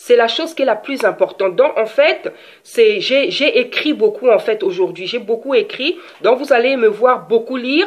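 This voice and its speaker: A high-pitched woman's voice with very wide pitch swings. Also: moderate pace. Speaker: preacher. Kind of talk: sermon.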